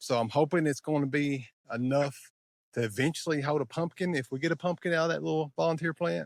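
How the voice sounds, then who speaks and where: In an Appalachian accent, a man talks in a relaxed tone at a moderate pace with ordinary pitch variation, recorded very cleanly against a silent background. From Eastern Kentucky. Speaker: vlogger. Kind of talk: casual talk to camera. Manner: relaxed, conversational.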